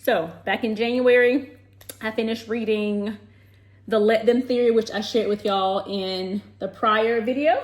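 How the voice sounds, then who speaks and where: With fairly even intonation, a woman speaks in a normal speaking voice. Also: fairly high pitch for a woman, moderate pace. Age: 30s. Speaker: lifestyle vlogger and health professional. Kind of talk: casual vlog talk to camera.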